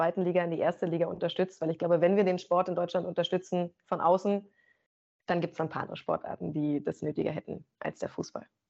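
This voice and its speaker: With an ordinary speaking voice, a woman talks at medium pitch and a fairly quick pace. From Brandenburg, Germany (Rangsdorf, south of Berlin). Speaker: sports presenter. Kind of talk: interview.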